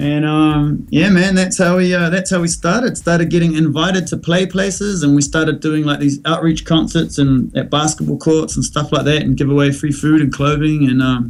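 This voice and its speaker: A man's fairly high voice at a moderate pace, with very even loudness, ordinary pitch variation and hardly any pauses. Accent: New Zealand. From New Zealand. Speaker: musician. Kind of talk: casual interview.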